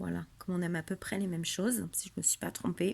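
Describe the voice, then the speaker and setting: A woman talks at a moderate pace. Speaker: scrapbooking crafter. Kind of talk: craft tutorial show-and-tell. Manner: casual, hesitant with fillers.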